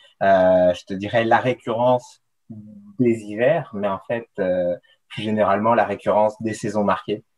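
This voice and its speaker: A medium-pitched male voice with music in the background. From France, coastal region. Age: 30s. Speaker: mountain runner and ski mountaineering athlete. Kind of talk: casual interview. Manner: halting, many fillers and repetitions.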